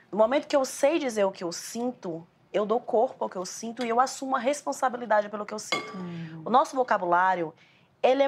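A woman speaks at a fairly quick pace in a fairly high pitch, her pitch swinging very widely. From Bahia, Brazil. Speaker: emotional education specialist. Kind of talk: casual conversation. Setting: at the hosts' home.

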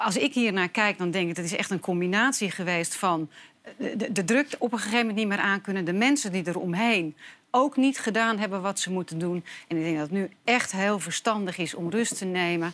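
With an unremarkable speaking voice, a woman talks at a medium pitch and a fairly quick pace, using ordinary pitch variation. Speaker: panelist. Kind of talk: casual chat. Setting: studio.

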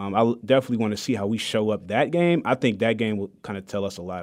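Speaking very fast, a man with an American accent uses a fairly low pitch and ordinary pitch variation. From Detroit, Michigan. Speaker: promotions manager, sports fan guest. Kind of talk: sports talk radio chat.

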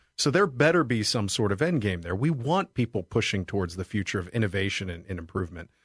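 A somewhat breathy man with a fairly low voice races along at a very fast pace with hardly any pauses and lively intonation, in a dry, close sound with no echo. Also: quiet background. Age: 40s. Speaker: financial advisor. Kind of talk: radio talk show. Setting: studio.

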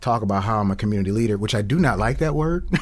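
A man with an American accent at a very fast pace, with ordinary pitch variation. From Peoria, Illinois (South Peoria). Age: 40s. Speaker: school safety director, former police officer. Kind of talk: casual interview chat. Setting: studio.

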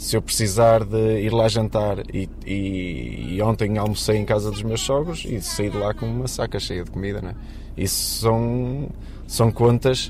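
A man talks at a fairly slow pace, with audible room echo and noticeable background noise around him. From Portugal, Matosinhos near Porto. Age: 30s. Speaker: refinery worker. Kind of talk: interview. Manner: halting.

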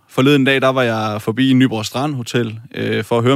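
At a fairly quick pace, a man talks in a normal speaking voice at medium pitch. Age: 20s. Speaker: parliamentary candidate, industrial technician. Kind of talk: political debate.

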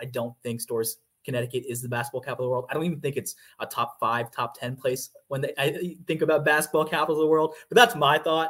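A man with an American accent at a very fast pace, intonation fairly even. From US South, Georgia. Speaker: sports beat writer. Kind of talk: casual interview.

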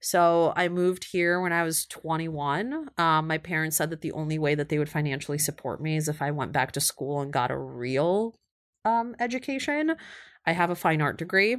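Here is a woman with an American accent and an ordinary speaking voice, pitched fairly low with ordinary pitch variation. She keeps a moderate pace, and the recording is very clean against a silent background. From Ukraine, Kyiv; teen years in Ohio. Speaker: influencer marketing agency founder. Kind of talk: interview.

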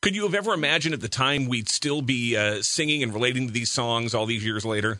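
Very rapid male speech full of lively intonation. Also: medium pitch for a man. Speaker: radio host. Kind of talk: casual interview.

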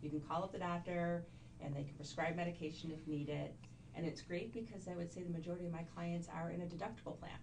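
Over noticeable background noise, a woman with a fairly low pitch talks at a very fast pace with fairly even intonation. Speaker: health insurance consultant. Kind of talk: sales pitch.

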